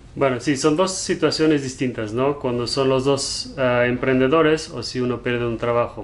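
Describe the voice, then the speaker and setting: A man's medium-pitched voice at a moderate pace, fairly even in intonation, with hardly any pauses and noticeable background noise. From Germany. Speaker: entrepreneur, business partner of host. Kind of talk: casual chat. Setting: home, game room, on video.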